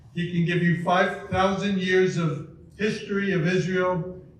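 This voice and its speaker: A man speaks at a fairly slow pace with a high pitch. Audible room echo and noticeable background noise fill the recording. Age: 80s+. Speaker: lawyer. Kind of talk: speaker introduction.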